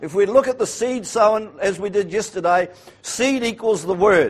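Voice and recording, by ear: A man speaks in a high voice at a moderate pace with ordinary pitch variation.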